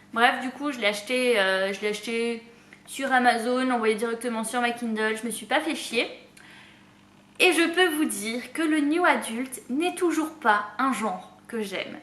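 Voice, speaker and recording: This voice moves at a fairly slow pace with ordinary pitch variation. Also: woman, high pitch for a woman. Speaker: booktuber. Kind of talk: casual talk to camera.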